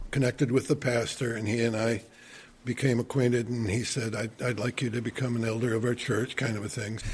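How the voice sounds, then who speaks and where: A man with an American accent talks at a medium pitch in a somewhat breathy voice. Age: 70s. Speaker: retired church elder and volunteer. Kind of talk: casual interview chat. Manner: repetitive, with frequent restarts.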